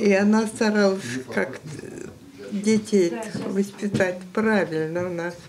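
Noticeable background noise sits behind a woman who speaks very slowly, with long, frequent pauses. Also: ordinary pitch variation. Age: 80s+. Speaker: retired teacher of the deaf. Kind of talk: interview answer. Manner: lively, cheerful. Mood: cheerful, lively storytelling. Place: home room.

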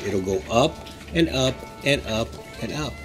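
Male voice with faint music in the background. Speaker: vlogger. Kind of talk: casual vlog chat. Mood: encouraging, earnest. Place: street. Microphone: phone near.

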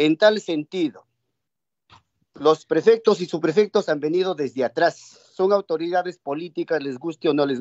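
A man talks in a plain, everyday voice at fairly high pitch and a moderate pace, with ordinary pitch variation and big swings in loudness against a quiet background. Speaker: legislator. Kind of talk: parliamentary debate. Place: home room. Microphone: video call.

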